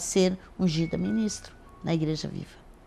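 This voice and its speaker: A woman's fairly low voice with ordinary pitch variation, music in the background. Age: 60s. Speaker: pastor. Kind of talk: interview.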